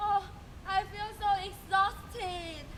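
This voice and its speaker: This is a put-on character voice at an extremely high pitch. Background noise is clearly audible. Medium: stage play. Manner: menacing.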